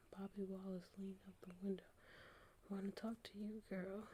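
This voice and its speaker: Soft-spoken and somewhat breathy, a woman whispers. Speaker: ASMR creator, hospital worker. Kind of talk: whispered audiobook reading. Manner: whispered, soft, relaxing.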